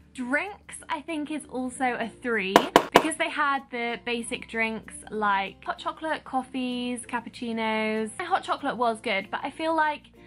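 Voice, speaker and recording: A woman speaks with a high pitch at a fairly slow pace. There is noticeable background noise. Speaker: vlogger. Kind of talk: casual vlog review chat. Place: home room. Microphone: phone near.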